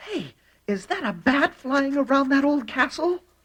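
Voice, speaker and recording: A cartoonish character voice, female-sounding and high in pitch, moves at a moderate pace. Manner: eager, curious.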